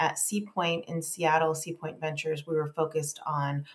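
A woman with an American accent, very deep and low in pitch, somewhat breathy. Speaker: venture investor and company CEO. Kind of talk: interview.

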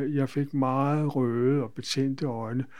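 Against a quiet background, a man speaks very slowly at a fairly high pitch, his tone dark and mellow and his intonation monotone and flat. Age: 80s+. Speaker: patient. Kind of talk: interview. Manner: halting.

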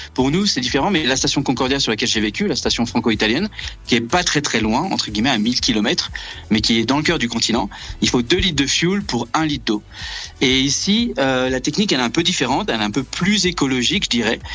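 With music in the background, a man of medium pitch speaks at a very fast pace, with very even loudness and lively intonation. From Brittany, France. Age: 30s. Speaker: astrophysics research assistant. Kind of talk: radio interview. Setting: remote call from Antarctica.

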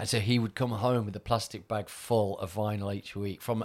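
A man of fairly low pitch with a Mancunian accent, in a very clean recording with a silent background. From Manchester, northern England. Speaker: DJ and agency owner. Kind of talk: casual interview chat.

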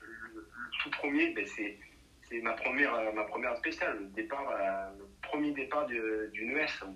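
Big swings in loudness mark this fairly slow delivery, set against noticeable background noise. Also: man. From southern France, Nîmes. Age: 40s. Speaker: rally driver. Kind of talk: interview. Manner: halting.

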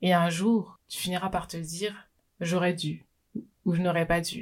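A woman with a fairly low pitch talks at a moderate pace in a somewhat breathy voice. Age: 20s. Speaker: business coach and podcaster. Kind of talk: solo podcast monologue. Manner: unscripted, conversational.

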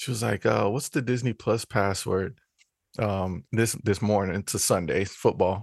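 An unremarkable speaking voice from a man, fairly low in pitch, with fairly even intonation, a moderate pace, and a dry, close sound with no echo against a quiet background. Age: 30s. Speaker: podcast co-host, filmmaker and screenwriter. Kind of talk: casual chat.

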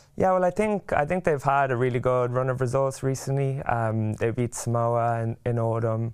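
A man with an Irish accent and a medium pitch speaks at a moderate pace with hardly any pauses, ordinary pitch variation and very even loudness against a quiet background. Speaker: rugby player. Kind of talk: casual chat.

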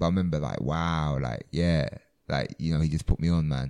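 With a London accent, a man speaks in a very deep, low pitch and fairly even intonation. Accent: London English, multicultural London. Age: 20s. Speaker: comedian. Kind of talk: casual chat. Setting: music venue before a show.

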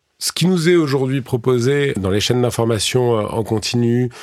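The recording is very clean, with a silent background. A man at medium pitch speaks at a fairly slow pace with ordinary pitch variation. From France, urban area. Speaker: farmer and entrepreneur. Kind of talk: interview. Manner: halting, many hesitations.

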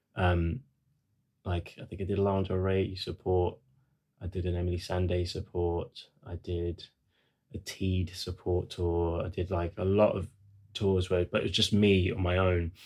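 A man's very deep, low voice, somewhat breathy, in a flat monotone at a fairly slow pace with long, frequent pauses, on a very clean recording with a silent background. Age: 30s. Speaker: musician. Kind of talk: casual chat.

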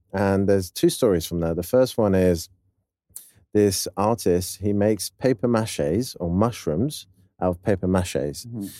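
On a very clean recording with a silent background, a man speaks at a moderate pace in a fairly low, dark, mellow tone with ordinary pitch variation. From France. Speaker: musician. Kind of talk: casual chat.

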